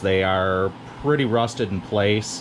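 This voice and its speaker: Against noticeable background noise, a man speaks fairly slowly in a fairly low pitch with fairly even intonation. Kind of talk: tutorial. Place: garage. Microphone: phone near.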